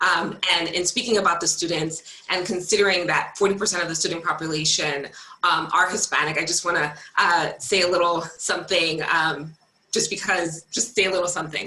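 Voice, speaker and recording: With fairly even intonation, this voice moves at a fairly quick pace over noticeable background noise. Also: woman. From US, child of Cuban immigrants. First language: Spanish. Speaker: school board candidate. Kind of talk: candidate forum closing statement.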